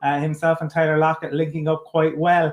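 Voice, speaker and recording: A man speaks with an Irish accent at a moderate pace. His pitch is high. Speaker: podcast host. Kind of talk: interview. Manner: halting.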